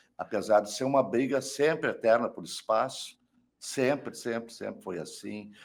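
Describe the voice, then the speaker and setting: A man speaks at a moderate pace with a medium pitch and vocal fry. His loudness swings a lot. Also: ordinary pitch variation. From Porto Alegre, southern Brazil. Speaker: rock musician, saxophonist and singer. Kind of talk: interview.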